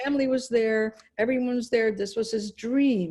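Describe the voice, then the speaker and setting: Her high pitch carries a dark, mellow tone as the woman talks at a fairly quick pace with ordinary pitch variation. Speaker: speaker recounting family refugee history. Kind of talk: interview testimony.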